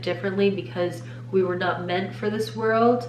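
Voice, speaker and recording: The pitch swings very widely. Noticeable background noise and audible room echo are present. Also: woman. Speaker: faith-based content creator. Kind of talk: faith talk / devotional monologue.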